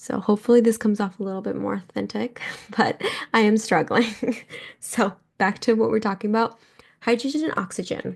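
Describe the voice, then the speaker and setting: A woman with a fairly high pitch and vocal fry speaks with long, frequent pauses. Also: fairly quick pace. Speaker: biology tutor. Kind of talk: educational podcast, unscripted explanation. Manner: casual, upbeat; halting, self-correcting.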